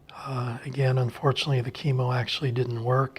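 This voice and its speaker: Somewhat breathy and flat in intonation, a man speaks at a medium pitch and a fairly quick pace. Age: 60s. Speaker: lung transplant and cancer survivor. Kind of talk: testimony.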